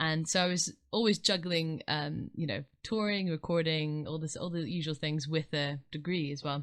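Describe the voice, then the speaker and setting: Over a quiet background, the speaker moves at a fairly quick pace with fairly even intonation. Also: woman. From Scotland, Edinburgh. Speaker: singer-songwriter. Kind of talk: interview. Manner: soft.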